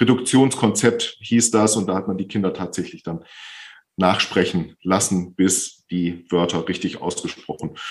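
With a very deep, low pitch, a man speaks fairly slowly, his pitch varying in an ordinary way. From Bielefeld, Germany. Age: 50s. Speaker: speech therapist. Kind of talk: interview.

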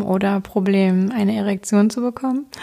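At a moderate pace, this voice carries a dark, mellow tone. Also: woman. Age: 30s. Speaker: sex coach and podcast host. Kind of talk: solo podcast monologue.

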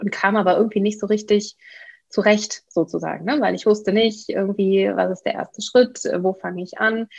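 A woman speaks in an ordinary speaking voice, her pitch fairly high and her intonation fairly even. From Germany, Bielefeld (East Westphalia). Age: 30s. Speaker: real estate investor and coach. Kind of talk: interview.

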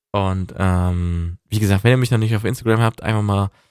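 At a moderate pace, the speaker keeps a calm, relaxed tone in a very clean recording with a silent background. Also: man. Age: 20s. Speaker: podcaster on weight loss. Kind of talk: personal monologue.

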